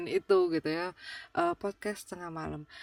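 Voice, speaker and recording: Ordinary pitch variation at a fairly slow pace, in a very clean recording with a silent background. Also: woman. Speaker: podcast host. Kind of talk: casual chat. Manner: halting, many fillers; relaxed, informal.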